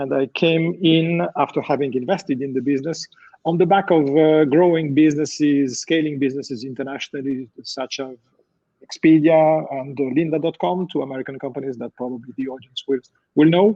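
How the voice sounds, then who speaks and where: A man with a French accent speaks at a fairly high pitch. His pitch variation is ordinary. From France. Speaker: company CEO. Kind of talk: panel discussion.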